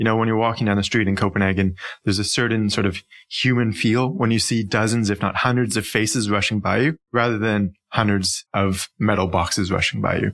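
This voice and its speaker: Speaking in a Canadian accent at a fairly quick pace, the voice holds very even loudness and fairly even intonation. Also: man, fairly low pitch for a man, very clean recording, silent background. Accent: Canadian, noticeable. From Canada, Ontario near Toronto. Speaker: urban planning consultant. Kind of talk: podcast interview.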